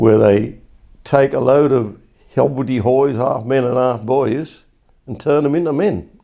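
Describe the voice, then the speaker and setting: A man with an Essex accent, a medium pitch, a dark, mellow tone, ordinary pitch variation and a fairly slow pace. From England. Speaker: war-era army veteran recalling youth. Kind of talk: oral history interview answer.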